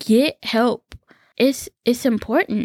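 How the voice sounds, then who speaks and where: Here a woman speaks in a normal speaking voice at a fairly slow pace. Her pitch is fairly high, and the sound is dry and close with no echo. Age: 20s. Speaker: podcast host. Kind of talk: personal storytelling monologue.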